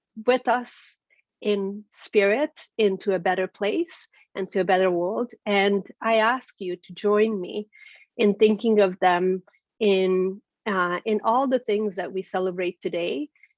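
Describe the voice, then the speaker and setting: A woman at medium pitch with a Hungarian accent, ordinary pitch variation and a fairly slow pace. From Transylvania, Romania. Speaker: keynote speaker. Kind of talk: speech. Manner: halting, many fillers.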